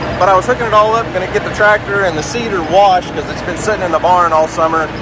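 Loud background noise surrounds a man speaking at a very fast pace, his voice dry with no echo. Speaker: homesteader vlogger. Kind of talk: casual vlog chat. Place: farm machine. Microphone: phone near.

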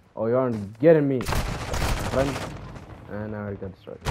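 Noticeable background noise sits behind a man speaking at a fairly slow pace with ordinary pitch variation. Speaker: gaming YouTuber. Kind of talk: gameplay commentary. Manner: excitable, swears often.

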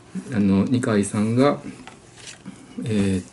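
There is light background noise behind a man's fairly low voice. His pitch varies in an ordinary way. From Japan. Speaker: YouTuber answering viewer questions. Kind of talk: casual monologue. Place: home room. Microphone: webcam.

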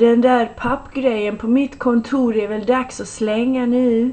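A woman's put-on character voice, high-pitched and mumbling in a flat monotone, with light background noise. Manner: sleepy mumbling.

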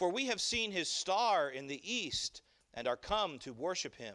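Against a quiet background, a man uses a raised, projected voice with a bright, sharp tone at a moderate pace. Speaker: pastor. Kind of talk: sermon scripture reading. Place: church.

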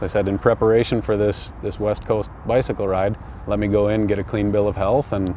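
Over light background noise, a man with a fairly low pitch talks at a fairly quick pace with fairly even intonation, the sound dry with no echo. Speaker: interviewee. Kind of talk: interview answer. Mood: calm, reflective about illness. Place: open country. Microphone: lapel.

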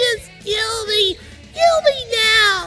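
The speaker uses a put-on character voice. Clear background noise runs underneath.

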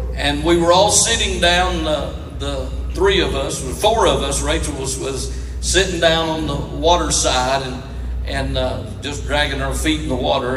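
A man talks at a moderate pace. Light background noise and audible room echo can be heard. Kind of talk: storytelling stage talk to an audience. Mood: warm, humorous. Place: stage.

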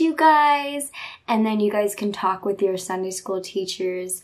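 Over a quiet background, a woman speaks at a moderate pace with lively intonation. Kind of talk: casual vlog chat. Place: home room. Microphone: phone near.

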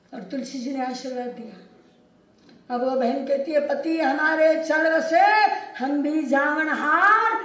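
A woman talks in a high pitch with ordinary pitch variation. Audible room echo surrounds her voice. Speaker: religious teacher. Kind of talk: sermon storytelling. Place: hall.

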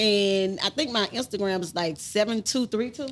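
A woman speaks with an American accent. Her pitch is medium, with ordinary variation. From Baton Rouge, Louisiana; Louisiana. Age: 40s. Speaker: rapper's mother; podcast guest. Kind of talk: casual interview. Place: studio. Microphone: studio mic.

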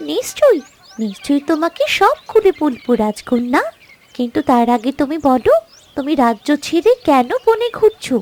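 A cartoonish character voice with a gentle tone, high pitch, very wide pitch swings, and a fairly slow pace. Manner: gentle, reassuring.

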